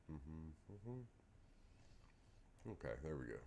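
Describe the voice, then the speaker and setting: A man's dark, mellow voice at a very slow pace, with audible room echo. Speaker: darts livestreamer. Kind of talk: casual livestream chat. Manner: soft-spoken.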